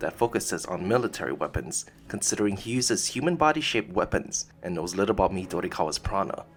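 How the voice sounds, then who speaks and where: With music in the background, a man speaks at a very fast pace, his pitch swinging very widely. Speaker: video essayist. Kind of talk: documentary-style video essay narration.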